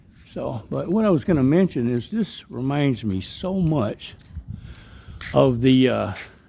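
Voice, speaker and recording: A man with a strong Southern US accent speaks at a fairly slow pace. His medium pitch swings very widely. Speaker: travel vlogger. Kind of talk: casual walkthrough narration. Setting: outdoors in a park.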